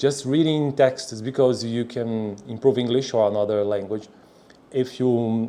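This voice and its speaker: A man with a Brazilian Portuguese accent talks at a fairly slow pace and medium pitch, with fairly even intonation. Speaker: language learner, video creator. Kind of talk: reading aloud. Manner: halting.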